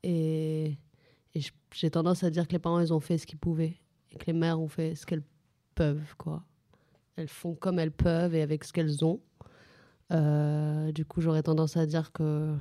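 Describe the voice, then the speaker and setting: With very deep, low pitch and monotone, flat intonation, a woman speaks at a moderate pace with long, frequent pauses and big swings in loudness, in a very clean recording with a silent background. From Paris suburbs, Clichy-sous-Bois. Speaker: novelist. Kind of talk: live radio interview. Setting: library with audience.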